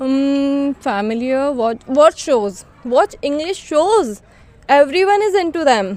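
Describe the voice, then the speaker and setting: A woman with an Indian accent talks at a very slow pace and a high pitch, her pitch swinging very widely. Noticeable background noise is present. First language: Hindi. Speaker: English learning vlogger. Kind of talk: casual vlog talk to camera.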